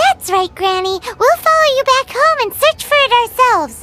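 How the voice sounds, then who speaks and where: A squeaky, put-on character voice speaks at an extremely high pitch and moderate pace. Faint music plays in the background. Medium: video game. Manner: curious, expressive.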